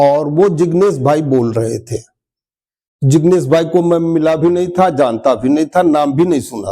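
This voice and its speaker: Fairly high male voice, dark and mellow, with ordinary pitch variation. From eastern Uttar Pradesh, India (Gorakhpur). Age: 70s. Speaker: retired railway employee, spiritual practitioner. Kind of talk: testimony.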